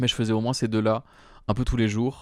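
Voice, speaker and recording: A man speaks in a monotone, flat intonation. The recording is very clean, with a silent background. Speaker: solo podcaster. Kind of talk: casual monologue. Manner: hesitant, many fillers.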